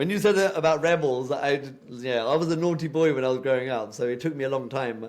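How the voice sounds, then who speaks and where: With a British accent, a man talks at a fairly quick pace and a medium pitch with ordinary pitch variation. Audible room echo surrounds the recording. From UK, British Punjabi background. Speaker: podcast co-host. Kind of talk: casual chat.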